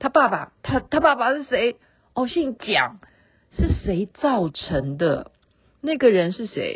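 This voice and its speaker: A woman speaks very slowly in a high voice with very wide pitch swings. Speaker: podcast host. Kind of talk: casual late-night monologue. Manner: relaxed, chatty with fillers.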